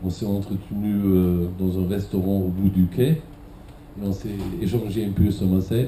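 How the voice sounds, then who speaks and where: Speaking with a German accent, a man with a very deep, low pitch delivers his words at a fairly slow pace with fairly even intonation. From Germany. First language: German (speaking French). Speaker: cultural event director. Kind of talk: conference talk.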